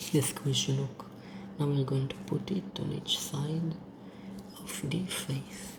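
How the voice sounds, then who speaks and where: The speech comes with long, frequent pauses over noticeable background noise. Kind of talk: ASMR makeup role-play tutorial. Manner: whispered.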